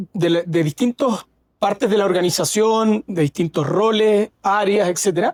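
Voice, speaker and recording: Speaking in a Chilean accent, a man uses a high pitch with ordinary variation at a moderate pace, the sound dry and close with no echo. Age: 40s. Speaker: fintech founder. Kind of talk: interview. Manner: halting, with frequent fillers.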